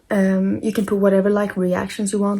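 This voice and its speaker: A woman talks at a moderate pace in a medium pitch. Her voice is somewhat breathy. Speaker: book content creator. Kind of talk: tutorial.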